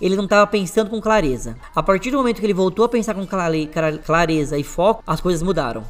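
Someone with a Brazilian accent talks at a very fast pace with lively intonation amid noticeable background noise. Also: man, high pitch for a man. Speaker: podcast host. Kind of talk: casual chat.

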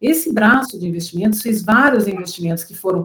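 Somewhat breathy and at a medium pitch, a woman talks at a fairly quick pace with ordinary pitch variation. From Brazil, Curitiba. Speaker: venture capital investor. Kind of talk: interview, explanatory.

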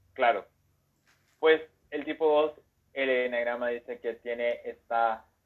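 The speaker talks at a fairly slow pace in a Mexican accent, with fairly even intonation. Long, frequent pauses break up the speech. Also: man, medium pitch for a man. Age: 30s. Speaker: enneagram content creator. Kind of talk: casual chat.

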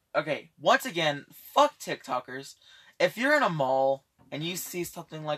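A man's bright, sharp voice with very wide pitch swings at a moderate pace, dry and close with no echo. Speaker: amateur podcast co-host. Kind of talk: casual chat. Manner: puts on a fake British accent.

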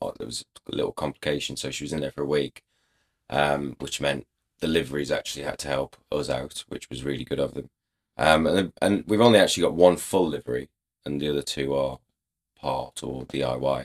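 Here a man with an English accent talks at a fairly quick pace in a very deep, low pitch with vocal fry and ordinary pitch variation, the sound dry and close with no echo. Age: 30s. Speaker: racehorse rider. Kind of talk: casual chat.

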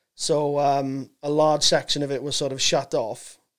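A man speaks with a South Wales accent. His pitch is medium. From Wales, Swansea. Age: 30s. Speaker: comedian. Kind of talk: casual chat. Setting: studio. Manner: halting.

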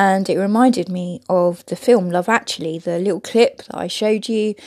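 Vocal fry colors a slightly mellow tone that has ordinary pitch variation. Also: woman.

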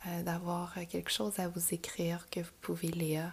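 Very slowly, a woman with a Quebec accent speaks in a somewhat breathy voice. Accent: Québécois French. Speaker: yoga teacher and podcast host. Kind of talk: casual monologue. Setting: home recording at computer.

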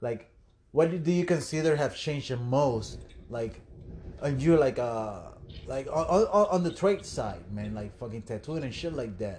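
With a Puerto Rican accent, a man talks at a fairly slow pace in a medium pitch. His voice is somewhat breathy, with very wide pitch swings. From Puerto Rico. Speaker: tattoo industry podcast host. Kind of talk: casual chat. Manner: animated.

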